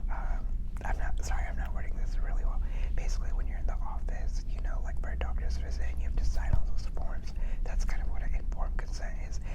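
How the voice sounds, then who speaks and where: A man whispers at a very fast pace. Noticeable background noise sits behind him. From South India. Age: 20s. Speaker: therapy student. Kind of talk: ASMR study hangout talk to camera. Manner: whispered; casual, upbeat.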